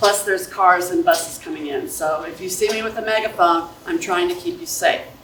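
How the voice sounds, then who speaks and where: A woman at a fairly quick pace with fairly even intonation, plus noticeable background noise and audible room echo. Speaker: school staff member handling bike safety. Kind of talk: presentation to parents and students. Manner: loud.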